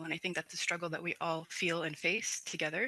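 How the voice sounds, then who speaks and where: With a northern Canadian accent, a woman speaks in a bright, sharp tone at a fairly low pitch, with a dry, close sound and no echo. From Dene community, northern Canada. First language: Dene language. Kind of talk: panel presentation.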